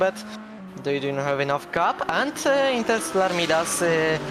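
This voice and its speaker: With a Polish accent and lively intonation, a man speaks at a moderate pace against noticeable background noise. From Poland. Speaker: sim racing commentator and league organizer. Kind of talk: live commentary. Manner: halting.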